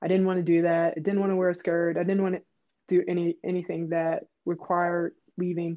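Speaking at a fairly quick pace, a woman with a fairly low pitch has an American accent. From Pittsburgh, Pennsylvania. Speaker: former pro basketball player. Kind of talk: interview. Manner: animated storytelling.

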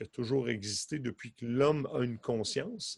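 Dry, close sound with no echo. A man talks at a very slow pace. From Quebec. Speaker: hypnotherapist and stage hypnotist. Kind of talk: casual interview.

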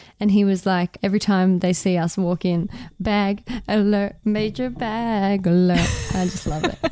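Over noticeable background noise, a woman with an Australian accent talks at a moderate pace and medium pitch with fairly even intonation. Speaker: radio journalist, podcast co-host. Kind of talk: casual advice chat.

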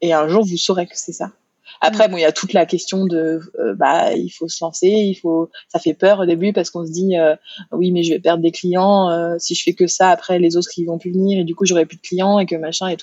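A woman talks at a fairly quick pace in a fairly low pitch with fairly even intonation. Her loudness swings widely. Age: 30s. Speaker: hypnotherapist. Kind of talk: interview. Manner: halting, many repetitions and fillers.

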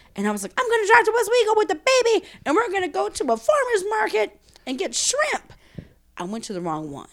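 Talking very fast, a woman speaks in a New Orleans accent. Her loudness swings widely. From New Orleans, 7th Ward. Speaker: writer. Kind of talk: casual chat.

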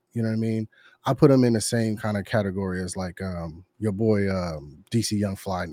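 The man's voice sits fairly low, with a dark, mellow tone and ordinary pitch variation. He keeps a moderate pace in a very clean recording with a silent background. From Northern California, Bay Area (707). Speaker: army veteran. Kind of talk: casual chat. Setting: livestream with chat.

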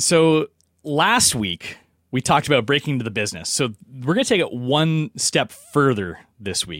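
The sound is dry and close with no echo. A man with a Canadian accent talks at a moderate pace in a fairly high voice with vocal fry. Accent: general Canadian. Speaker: podcast host. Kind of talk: casual interview chat.

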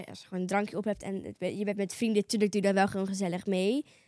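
Dry and close with no echo, a woman's voice runs at a very fast pace in a flat monotone. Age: young. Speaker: podcast sidekick. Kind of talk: casual chat.

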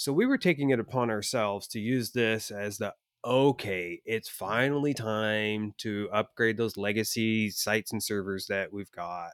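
A man with a normal speaking voice talks at a moderate pace and a fairly low pitch, with ordinary pitch variation. He hardly pauses, and the sound is dry and close with no echo. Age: 40s. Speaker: podcast co-host, web developer. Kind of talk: casual chat. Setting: remote call.

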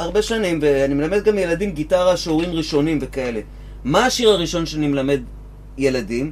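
Over noticeable background noise, a man talks at a very fast pace with lively intonation and a high pitch. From Israel, Givatayim. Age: 50s. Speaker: guitar teacher and musician. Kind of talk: casual chat.

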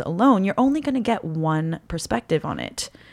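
Her pitch is medium for a woman, and she keeps a moderate pace with lively intonation. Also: very clean recording, silent background. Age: 30s. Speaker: cosplayer. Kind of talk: casual chat.

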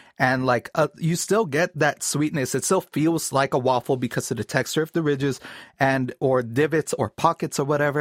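An ordinary speaking voice from a man, fairly high in pitch, with ordinary pitch variation and a dry, close sound with no echo. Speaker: voiceover artist. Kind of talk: casual chat. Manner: playful with voices.

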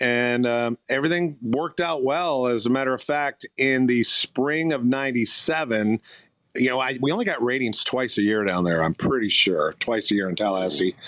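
A man with an ordinary speaking voice and an American accent speaks at medium pitch with lively intonation and very even loudness. The recording is very clean with a silent background and a dry, close sound with no echo. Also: moderate pace. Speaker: radio program director. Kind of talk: interview storytelling. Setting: live audio chat room.

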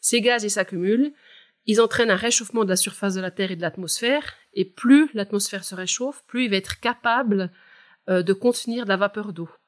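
A woman's unremarkable speaking voice at a fairly quick pace, with ordinary pitch variation, big swings in loudness, and a dry, close sound with no echo. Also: medium pitch for a woman. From Switzerland, Val de Travers, canton of Neuchâtel. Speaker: climate scientist. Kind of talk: expert interview.

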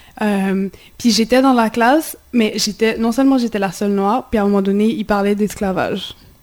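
The speech holds a moderate pace and fairly even intonation despite noticeable background noise. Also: woman. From Haiti. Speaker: community radio host. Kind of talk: radio discussion. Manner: halting.

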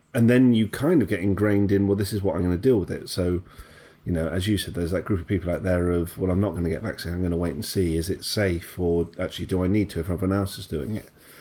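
With a British accent, a man talks at a very fast pace in a very deep, low voice, keeping his intonation fairly even. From Britain. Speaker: podcast co-host. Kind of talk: casual chat.

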